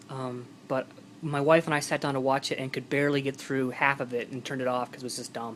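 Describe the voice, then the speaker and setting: Mumbling from a man at a very fast pace in monotone, flat intonation. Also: medium pitch for a man. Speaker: movie collector vlogger. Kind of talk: casual vlog. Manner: hesitant.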